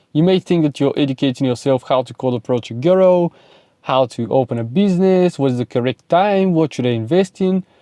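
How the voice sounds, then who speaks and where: A man with a Bulgarian accent, a dark, mellow tone, lively intonation and a fairly quick pace, in a dry, close sound with no echo and a quiet background. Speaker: self-improvement content creator. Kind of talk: motivational monologue to camera. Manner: animated.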